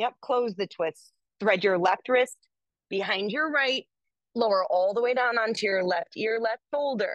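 Speaking at a fairly slow pace in a calm, gentle tone, a woman has a fairly high pitch, ordinary pitch variation and a dry sound with no echo. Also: quiet background. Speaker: yoga teacher. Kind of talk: yoga class instruction, with a soft guided-meditation feel. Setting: yoga studio class. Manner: calm, gentle, cueing poses slowly; casual, conversational. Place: home room.

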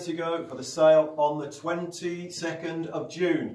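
Upbeat and enthusiastic, a man speaks in a high pitch with audible room echo. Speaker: auctioneer. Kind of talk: promotional presentation to camera for an auction house. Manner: upbeat, brisk, enthusiastic. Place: hall.

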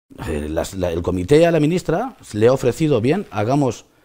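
A man's fairly high voice with a dark, mellow tone. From Spain. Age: 50s. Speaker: trucking company owner. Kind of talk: interview. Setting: studio. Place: studio.

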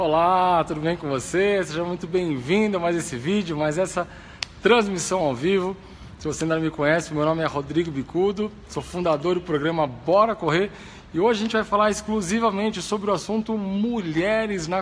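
A man with a high voice speaks with ordinary pitch variation over light background noise. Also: moderate pace. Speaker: running coach. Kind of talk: live stream talk. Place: gym. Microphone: phone near.

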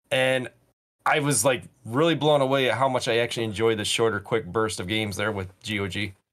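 A man talking at a fairly quick pace with ordinary pitch variation, against a quiet background. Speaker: podcast co-host. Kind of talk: casual chat. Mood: enthusiastic about games. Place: home room.

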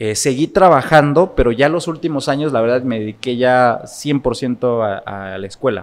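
This is a man talking at a moderate pace. His pitch rises and falls in an ordinary way. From Puebla, Mexico. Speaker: political consultant and lecturer; lecturer. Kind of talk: interview conversation. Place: studio. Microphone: studio mic.

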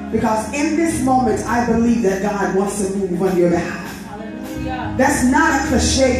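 A woman's voice with ordinary pitch variation, strong room echo and clear music in the background. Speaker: preacher leading worship. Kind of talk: sermon. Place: church.

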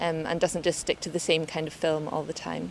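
Her pitch is fairly low for a woman. The sound is dry with no echo, and there is light background noise. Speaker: interviewee. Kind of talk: interview answer. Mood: friendly, smiling. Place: street.

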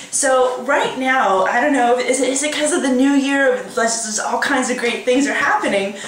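Light background noise and audible room echo accompany speech at a moderate pace. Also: woman. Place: home room. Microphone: webcam.

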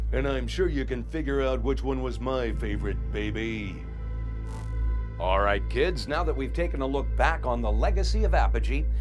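Music plays behind a man with a very deep, low pitch. He speaks at a moderate pace. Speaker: voice actor. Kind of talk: promotional showcase host narration. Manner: upbeat, enthusiastic.

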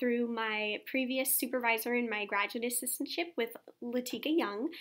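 A woman with a high pitch and an American accent speaks in a bright, sharp tone against a quiet background. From Texas, San Antonio; Texas. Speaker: doctoral student. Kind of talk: interview testimonial. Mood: warm, upbeat. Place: office. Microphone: webcam.

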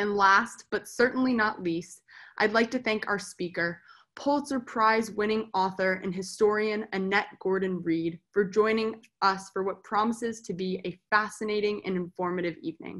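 Moderate-paced speech with fairly even intonation over a quiet background. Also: woman. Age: 20s. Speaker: student, sponsor family member. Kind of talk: reading prepared introduction. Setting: video call. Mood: warm, smiling. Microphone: webcam.

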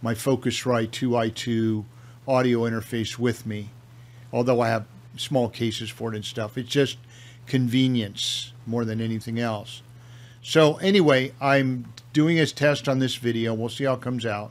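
The man's delivery moves at a moderate pace. His intonation stays fairly even throughout. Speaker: home video creator. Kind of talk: casual product review talk. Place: home room. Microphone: studio mic.

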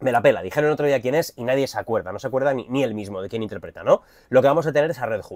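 Against a quiet background with dry sound and no echo, a man talks at a very fast pace in an animated tone, with big swings in loudness and ordinary pitch variation. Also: medium pitch for a man. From Spain. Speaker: YouTuber, film and comics commentator; YouTuber, comics commentator. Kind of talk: trailer reaction video. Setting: cruise ship cabin. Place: home room. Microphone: lapel.

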